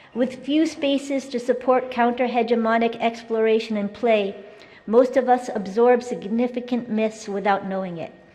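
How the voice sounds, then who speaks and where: Pitched high, a woman speaks with ordinary pitch variation, with audible room echo and noticeable background noise. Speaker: keynote speaker, education activist. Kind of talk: conference keynote speech. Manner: fast; formal.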